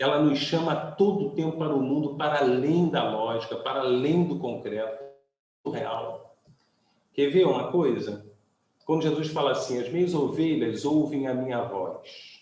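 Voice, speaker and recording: With audible room echo around him, a fairly high-pitched man speaks at a fairly slow pace. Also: ordinary pitch variation. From Brazil, Rio de Janeiro. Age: 60s. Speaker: pastor. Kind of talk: sermon.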